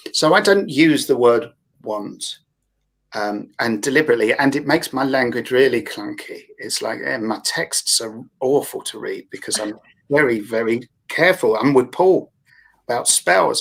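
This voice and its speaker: With a London accent, a man talks with big swings in loudness. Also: moderate pace. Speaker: therapist with a yoga background. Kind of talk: panel discussion. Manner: hesitant, with fillers.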